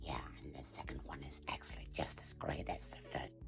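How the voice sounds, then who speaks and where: A cartoonish character voice at a moderate pace over loud background noise. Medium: puppet.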